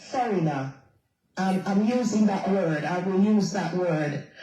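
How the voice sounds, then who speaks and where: Room echo is audible around this woman. Her pitch varies in an ordinary way. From England. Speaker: community organization president. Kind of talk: panel discussion. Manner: halting.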